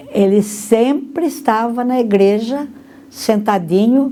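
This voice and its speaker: In a room with audible echo and noticeable background noise, a woman speaks at a very slow pace. Her pitch is fairly high, with ordinary variation. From Brazil, Monte Mor, São Paulo state. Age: 80s+. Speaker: interviewee, longtime parishioner. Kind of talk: documentary interview testimony.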